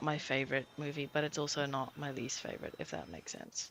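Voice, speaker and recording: The woman's voice has a bright, sharp tone. Vocal fry runs through her speech. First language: non-English home language. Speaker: livestreamer. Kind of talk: casual gaming stream chat. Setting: livestream. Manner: chatty, many fillers.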